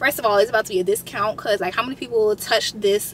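A woman with lively intonation, a dry sound with no echo and light background noise. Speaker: vlogger. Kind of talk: casual vlog chat. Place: car.

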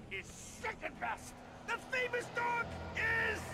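A man performs a put-on character voice at an extremely high pitch. His pace is fairly slow, and loud background noise is heard. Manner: spooky.

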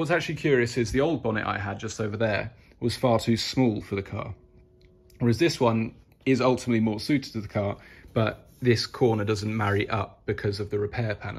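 Somewhat breathy, a man talks at a fairly quick pace with ordinary pitch variation. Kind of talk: casual vlog chat. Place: garage. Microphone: phone near.

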